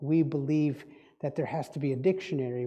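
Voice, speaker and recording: Audible room echo surrounds a man whose fairly high-pitched voice has a dark, mellow tone. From Indonesia, Dutch-speaking family. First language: Dutch. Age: old. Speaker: spiritual speaker and diviner. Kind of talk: sermon.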